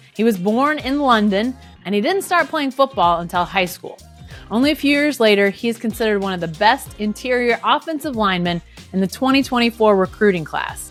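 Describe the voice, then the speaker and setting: Music plays behind a woman with an American accent. Her voice is fairly high, her intonation lively and her pace fairly quick. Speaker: sports journalist, podcast host. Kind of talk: podcast intro narration.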